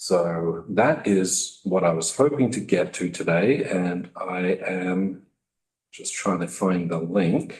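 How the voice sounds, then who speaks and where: In an Australian accent, a man speaks with a very deep, low pitch and ordinary pitch variation. His pace is very slow. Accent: Australian, still noticeable. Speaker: state health IT program director. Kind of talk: testimony to legislative committee. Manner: hesitant, many fillers.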